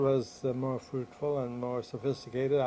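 A man with an American accent at a medium pitch, over noticeable background noise. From US Northeast (New Jersey, Philadelphia area). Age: 70s. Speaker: retired criminology professor. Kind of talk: oral history interview. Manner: halting, frequent fillers.

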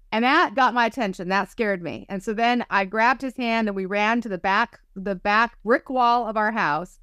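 Against a quiet background, a woman with a bright, sharp tone speaks at a moderate pace with ordinary pitch variation and hardly any pauses, the sound dry with no echo. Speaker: psychic medium and spiritual teacher. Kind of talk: casual interview. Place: home room. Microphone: video call.

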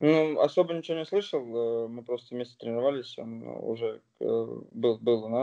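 Over a quiet background, a man with a dark, mellow tone talks at a moderate pace with hardly any pauses and ordinary pitch variation. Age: 20s. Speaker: professional footballer; interviewee. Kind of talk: interview. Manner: halting. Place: home room. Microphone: phone near.

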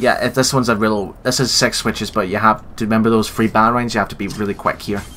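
This man has an ordinary speaking voice, with a fairly low pitch and fairly even intonation. He talks at a fairly quick pace. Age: 20s. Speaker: gaming YouTuber. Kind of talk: let's play commentary.

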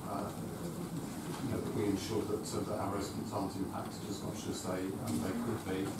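Loud background noise and audible room echo surround a man speaking. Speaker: councillor presenting a report. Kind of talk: formal meeting statement. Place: meeting room.

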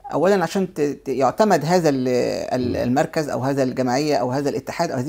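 Her intonation sounds lively. The voice belongs to a woman. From Egypt. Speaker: businesswoman and cultural center head; guest. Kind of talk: TV interview. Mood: warm, earnest. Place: studio.

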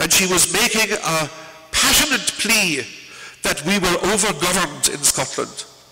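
This man has a high pitch and ordinary pitch variation. His pace is moderate. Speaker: university lecturer. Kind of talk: lecture. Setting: stage with audience. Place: hall. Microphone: podium.

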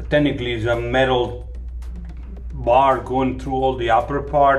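A man talks at a fairly slow pace while faint music can be heard in the background. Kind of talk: tutorial. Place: bathroom. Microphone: phone near.

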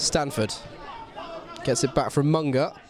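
A man against crowd noise in the background. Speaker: match commentator. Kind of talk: live football commentary with a scripted-style intro and post-match link. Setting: stadium, commentary over match footage.

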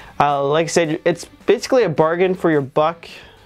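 Faint music plays in the background as the speech moves at a fairly quick pace. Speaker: product reviewer. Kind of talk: casual review chat.

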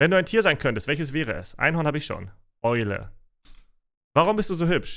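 A man's fairly high-pitched voice with vocal fry, very wide pitch swings and a fairly quick pace over a quiet background. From Russia (Siberia), raised in Germany. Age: 30s. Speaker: streamer. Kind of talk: Q&A livestream chat. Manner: casual. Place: home room.

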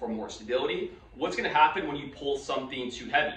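Against light background noise and audible room echo, a man talks at a fairly quick pace. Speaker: fitness or physical therapy educator. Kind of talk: explanatory podcast-style talk. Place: office.

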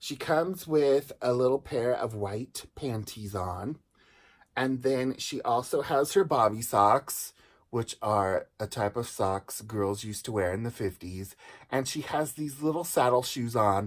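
A man with lively intonation, at a fairly slow pace, against a quiet background. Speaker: doll collector reviewer. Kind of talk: casual review chat. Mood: enthusiastic, nostalgic. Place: home room. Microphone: phone near.

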